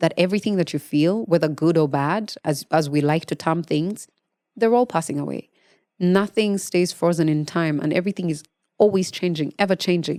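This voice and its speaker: A woman with a Ugandan accent, fairly low in pitch with ordinary pitch variation, at a fairly quick pace, in a dry, close sound with no echo on a very clean recording with a silent background. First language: Luganda. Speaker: podcast host. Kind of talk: podcast monologue on meditation.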